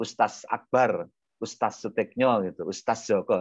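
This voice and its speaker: Over a quiet background, a man speaks at a moderate pace with vocal fry and very wide pitch swings. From Indonesia, Lampung (Javanese parents). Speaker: Islamic preacher. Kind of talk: religious talk. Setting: video call.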